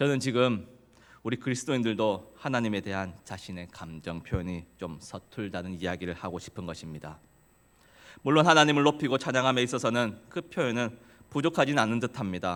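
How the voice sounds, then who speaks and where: Recorded very cleanly with a silent background, a man of medium pitch with a slight Gyeongsang accent talks at a fairly quick pace, with lively intonation and big swings in loudness. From South Korea, Gyeongsang region. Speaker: preacher. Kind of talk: sermon. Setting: church.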